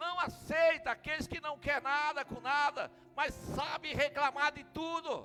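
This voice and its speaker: At a fairly slow pace, a man projects an extremely high, raised voice with fairly even intonation over noticeable background noise. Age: 60s. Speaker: pastor. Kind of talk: sermon.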